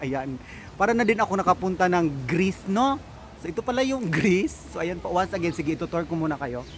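Noticeable background noise surrounds a man speaking very fast in a high pitch. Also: dry sound with no echo. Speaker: travel vlogger. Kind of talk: casual vlog chat. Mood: cheerful, laughing. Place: waterside. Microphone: phone near.

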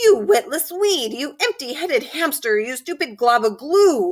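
In a put-on character voice, the speaker bellows in a furious tone at a high pitch, swinging very widely in pitch at a moderate pace. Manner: bellowing, furious, insulting.

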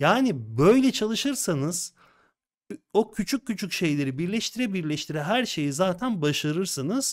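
Over a quiet background, a man with a high voice speaks at a fairly slow pace, his pitch swinging very widely. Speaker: design software instructor. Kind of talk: casual chat. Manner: animated. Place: home room. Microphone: studio mic.

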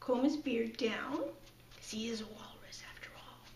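A woman speaks at a very slow pace with ordinary pitch variation, her voice carrying audible room echo over light background noise. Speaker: puppet demonstrator. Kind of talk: tutorial. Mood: warm, cheerful. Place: home room.

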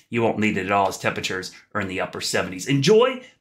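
Speaking fairly quickly, the man has an American accent. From US. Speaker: TV meteorologist. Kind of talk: weather forecast. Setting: video forecast vlog, on camera. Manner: clear, upbeat, fluent.

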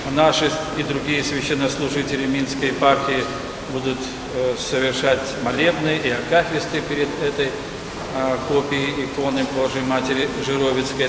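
Speech at a moderate pace comes through with noticeable background noise and audible room echo. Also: man. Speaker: parish priest. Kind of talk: sermon. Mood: warm, calm. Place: church.

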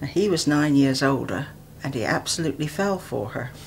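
Over light background noise, a woman speaks at a fairly slow pace. Her pitch is very deep and low. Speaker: interviewee. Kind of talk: interview answer. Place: home room.

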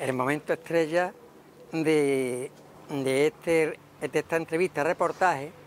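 A man's voice comes through dry with no echo, with light background noise behind it. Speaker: local TV interviewer. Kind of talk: casual interview presenting to camera. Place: street. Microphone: lapel.

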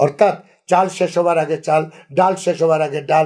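This is a man talking. His pitch is high. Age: 70s. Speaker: spiritual advisor. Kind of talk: religious advice talk. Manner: halting, short phrases.

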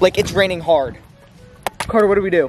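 There is light background noise behind a man as he speaks. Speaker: vlogger. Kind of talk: casual vlog chat. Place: garden. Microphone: phone near.

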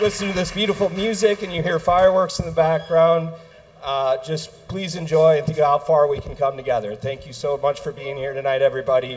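Ordinary pitch variation from a man speaking at a fairly quick pace. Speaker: venue host making announcements. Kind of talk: event announcements to audience. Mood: warm, welcoming. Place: stage.

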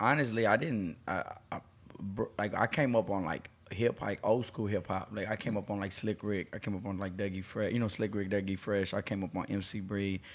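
A man with an American accent has a plain, everyday voice. He speaks at a fairly quick pace with fairly even intonation. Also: fairly low pitch for a man. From Southeast Houston, Texas. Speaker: hip hop artist. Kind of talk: casual chat.

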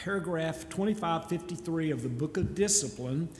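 A man speaks at a fairly high pitch. Light background noise and audible room echo surround him. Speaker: church lay leader. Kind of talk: church business presentation. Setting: church. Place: church. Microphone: podium.

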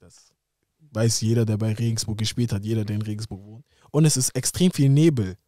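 A man's fairly low voice at a fairly quick pace, with ordinary pitch variation, dry sound with no echo and a quiet background. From Germany, Hamburg; Germany. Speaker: professional footballer; podcast guest. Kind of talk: casual interview. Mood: relaxed, reflective. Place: studio. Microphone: studio mic.

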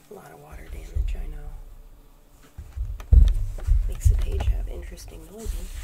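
A woman's whisper, relaxed in tone, with big swings in loudness, long and frequent pauses, a fairly quick pace and noticeable background noise. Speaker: ASMR creator. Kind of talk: ASMR art-book flip-through, casual talk to camera. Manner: soft, relaxed, whispering.

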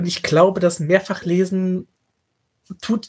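Speech moves fairly slowly on a very clean recording with a silent background. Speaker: podcast co-host. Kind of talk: casual book discussion.

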